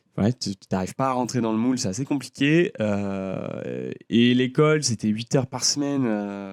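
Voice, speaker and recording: Speaking at a fairly slow pace with hardly any pauses, a man keeps a medium pitch with ordinary pitch variation and big swings in loudness. The recording is very clean, with a silent background. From France (Lyon), early childhood in the US. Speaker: designer and singer. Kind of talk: casual chat. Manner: hesitant, many fillers.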